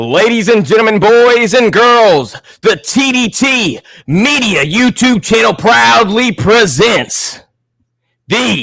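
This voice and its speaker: Using a put-on character voice, a man speaks at a high pitch with lively intonation and a fairly slow pace. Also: very even loudness. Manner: loud, theatrical.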